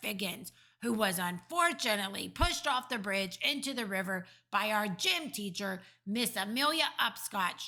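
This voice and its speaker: A woman speaks in a put-on character voice. It sits at a medium pitch and moves at a moderate pace. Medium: read story. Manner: ungrammatical, playful invented words.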